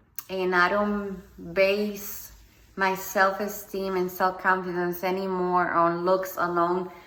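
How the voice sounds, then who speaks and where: In a Spanish accent, a woman speaks at a medium pitch and a very slow pace, her intonation monotone and flat, with audible room echo around her. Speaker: motivational speaker. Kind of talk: personal testimony monologue. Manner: halting, with many ums.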